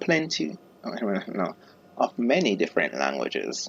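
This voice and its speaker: With an Jamaican accent, the speaker goes at a very slow pace against noticeable background noise. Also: man. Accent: Jamaican Creole (Patois). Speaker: gaming YouTuber. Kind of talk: casual gameplay commentary.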